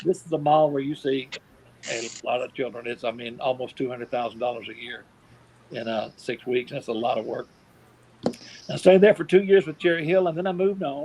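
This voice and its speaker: Over noticeable background noise, a man with a Southern US accent talks at a very fast pace and a fairly high pitch. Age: 60s. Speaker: professional Santa Claus. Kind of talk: interview storytelling. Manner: casual, folksy with hesitations.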